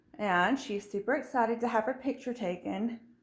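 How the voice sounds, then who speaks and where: A woman with a Southern US accent speaks with ordinary pitch variation. Audible room echo surrounds her voice. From US South. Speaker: furniture refinisher and video host. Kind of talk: tutorial. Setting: home studio and garage. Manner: casual with fillers.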